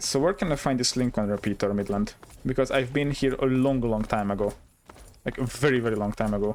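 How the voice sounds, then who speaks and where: The speaker talks at a very fast pace with a Hungarian accent. Pitch variation is ordinary. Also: man, medium pitch for a man. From Hungary. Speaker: gaming streamer. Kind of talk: live gameplay commentary. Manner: animated.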